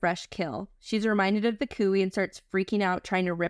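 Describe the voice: The speaker does plain reading aloud. Intonation remains fairly even throughout.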